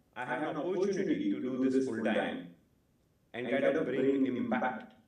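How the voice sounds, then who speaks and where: A man with a Gujarati accent, fairly slow, with very wide pitch swings and audible room echo. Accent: Indian English, Gujarati. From India, Gujarat (village). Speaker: educational YouTuber, data teacher. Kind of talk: talk at live meetup. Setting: live event with audience.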